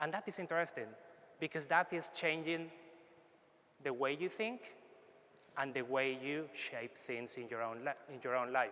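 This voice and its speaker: A man with a Spanish accent speaks fairly high, in a bright, sharp tone with ordinary pitch variation. His pace is moderate, broken by long, frequent pauses. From Spain. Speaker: foresight consultant. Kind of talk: workshop presentation.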